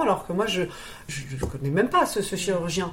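A woman speaks at a medium pitch with lively intonation. Room echo is audible. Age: 40s. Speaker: interviewee sharing cosmetic surgery experience. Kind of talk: interview testimony. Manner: halting, frequent repetitions and hesitations; spontaneous.

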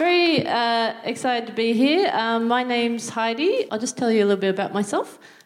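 A woman's fairly high voice with an Australian accent, fairly quick and lively in intonation, hardly any pauses, amid noticeable background noise. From Australia, Newcastle NSW. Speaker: stand-up comedian. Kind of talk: stand-up. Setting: stage with audience. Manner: halting.

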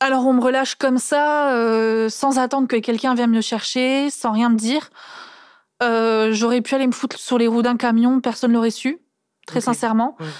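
On a very clean recording with a silent background, a woman with a high pitch speaks in a monotone, flat way at very even loudness. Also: moderate pace. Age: 20s. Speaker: daughter of an incarcerated mother. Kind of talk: testimony. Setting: seated on the floor, cosy studio.

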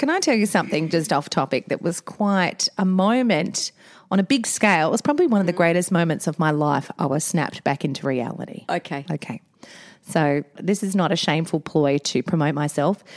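In an Australian accent, a woman with a fairly low pitch talks at a fairly quick pace with an animated tone, lively intonation and very even loudness, the sound dry and close with no echo. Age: 40s. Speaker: podcast co-host, mother. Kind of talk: casual chat.

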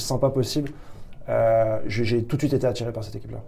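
A man speaks at medium pitch with a dark, mellow tone. Vocal fry runs through his voice. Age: 30s. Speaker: tech recruiter. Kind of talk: interview. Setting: office. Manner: halting.

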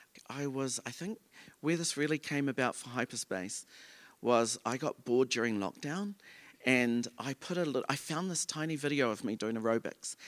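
In a very clean recording with a silent background and a dry, close sound with no echo, a man of medium pitch speaks with a New Zealand accent at a moderate pace and ordinary pitch variation. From New Zealand, Auckland. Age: 40s. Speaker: choreographer and dancer. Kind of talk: live onstage interview. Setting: stage with audience.

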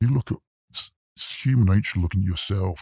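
A somewhat breathy man talks at a fairly quick pace with ordinary pitch variation, the sound dry and close with no echo on a very clean recording with a silent background. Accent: British. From UK. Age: 50s. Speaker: lawyer. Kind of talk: interview testimony. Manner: halting.

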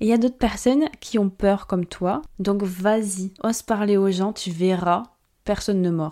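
A woman talks at a moderate pace, her medium pitch showing ordinary variation. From France. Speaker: podcast host, marketing consultant. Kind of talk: solo podcast monologue. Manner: casual, animated.

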